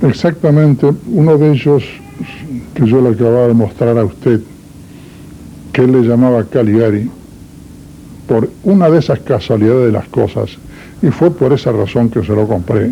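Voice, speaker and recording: A man talks at medium pitch with ordinary pitch variation and very even loudness. Long, frequent pauses break up his speech over noticeable background noise. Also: moderate pace. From Uruguay, Salto. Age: 80s+. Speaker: interviewee, doctor. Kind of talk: interview. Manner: formal.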